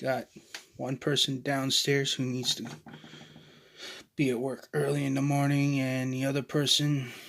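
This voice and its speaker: Quiet and flat, a man of medium pitch speaks fairly slowly, leaving long, frequent pauses. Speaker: toy reviewer. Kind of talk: product review. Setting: storage room at home.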